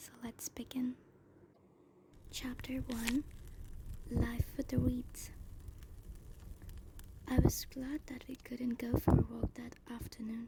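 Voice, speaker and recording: A woman whispers, soft-spoken, at a very slow pace. Her loudness swings widely, and she leaves long, frequent pauses. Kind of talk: ASMR book reading, soft-spoken. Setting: bonfire ambience in background. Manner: soft-spoken, whispery.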